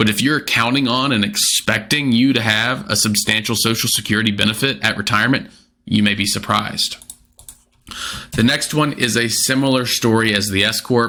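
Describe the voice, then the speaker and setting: A man's medium-pitched voice has a bright, sharp tone, fairly even intonation and very even loudness. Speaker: financial advisor. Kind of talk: explainer video. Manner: fast.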